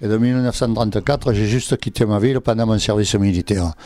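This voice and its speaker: Noticeable background noise surrounds a man whose voice is fairly low. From Provence, southern France (Berre-l'Étang). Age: 80s+. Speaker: retired draughtsman and local artist. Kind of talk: radio interview.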